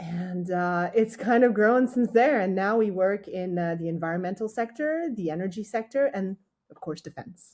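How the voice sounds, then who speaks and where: In a French accent, a woman with a medium pitch speaks at a moderate pace, her intonation lively and her loudness swinging widely. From France, with childhood in Australia and teens in the US. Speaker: startup founder and engineer. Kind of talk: interview. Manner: hesitant, many fillers and restarts.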